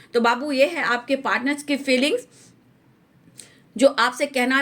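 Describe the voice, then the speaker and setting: With fairly level intonation, a woman delivers her words in a high register. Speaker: tarot reader. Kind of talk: tarot reading.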